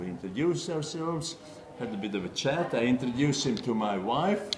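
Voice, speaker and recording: With lively intonation, a man talks while noticeable background noise carries on around him. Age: 70s. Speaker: chess player. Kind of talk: interview answer. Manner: hesitant, reminiscing.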